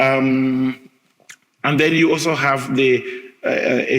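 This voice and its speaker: A man with an African accent, medium-pitched, with audible room echo. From Cameroon. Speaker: history professor. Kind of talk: lecture. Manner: hesitant, many filler sounds.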